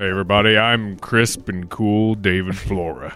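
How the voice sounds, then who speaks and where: Putting on a character voice, a man speaks in a fairly low, monotone, flat way. His pace is moderate. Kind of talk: advertising voiceover. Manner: crisp, cool, smooth announcer pitch.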